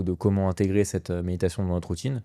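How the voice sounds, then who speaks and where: A man's voice sits very deep and low, dark and mellow in tone. The recording is very clean with a silent background. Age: 30s. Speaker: podcast co-host, works in law. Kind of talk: casual podcast conversation. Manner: hesitant, many fillers.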